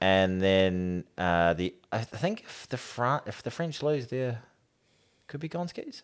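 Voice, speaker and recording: A man with a New Zealand accent at medium pitch, very slow pace, very wide pitch swings, big swings in loudness, very clean recording with a silent background. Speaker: podcast host. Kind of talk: casual banter about rugby.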